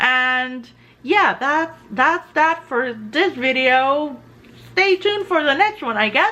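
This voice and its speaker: A woman's raised, projected voice, high in pitch and bright, sharp in tone, at a very slow pace. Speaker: artist and tarot video maker. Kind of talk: casual chat. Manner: halting.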